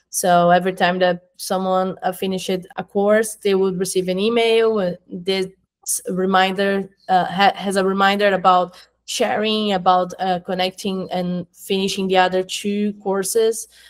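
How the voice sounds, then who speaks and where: A woman with a Portuguese accent, monotone and flat, at a fairly slow pace against a quiet background. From Brazil. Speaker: marketing coordinator at an education company; interviewee. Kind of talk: interview. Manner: halting, with fillers. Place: home room.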